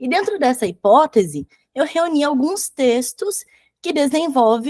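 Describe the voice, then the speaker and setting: A woman's high voice moves with lively intonation at a fairly slow pace. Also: dry, close sound with no echo. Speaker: academic researcher and school teacher. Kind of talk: academic conference presentation. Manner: hesitant, many fillers.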